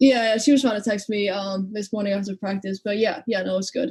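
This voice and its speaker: At a very fast pace, a woman speaks at a medium pitch with a slight Icelandic accent and fairly even intonation. The sound is dry and close, with no echo. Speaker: college basketball player. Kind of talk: interview.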